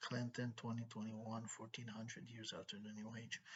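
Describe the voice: A man's put-on robotic character voice, medium in pitch, flat and monotone, at a fairly quick pace.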